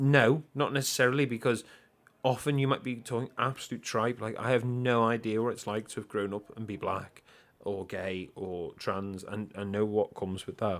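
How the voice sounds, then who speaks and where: A man speaks with a Liverpool accent. The recording is very clean, with a silent background. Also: medium pitch for a man, ordinary pitch variation, moderate pace. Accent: Scouse (Liverpool). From Liverpool, England. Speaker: podcast co-host. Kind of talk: casual chat.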